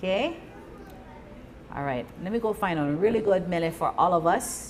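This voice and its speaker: A woman speaks at a fairly quick pace in a Hawaiian accent, with ordinary pitch variation. Noticeable background noise and audible room echo fill the recording. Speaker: Hawaiian language teacher. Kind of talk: live language class. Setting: live venue with audience. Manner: casual, encouraging.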